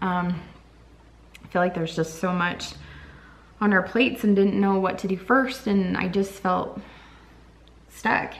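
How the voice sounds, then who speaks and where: With audible room echo, a woman at a medium pitch speaks at a fairly slow pace, her intonation fairly even and her pauses long and frequent. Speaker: vlogger. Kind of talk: casual vlog update. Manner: halting.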